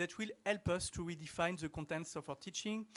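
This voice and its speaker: A fairly quick pace in a French accent. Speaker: professor. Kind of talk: conference talk.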